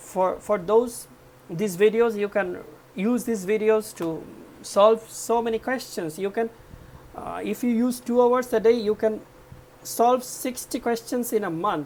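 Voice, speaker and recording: With noticeable background noise behind her, a woman speaks at a fairly slow pace in a fairly high pitch with ordinary pitch variation. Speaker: accounting exam tutor. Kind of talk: tutorial.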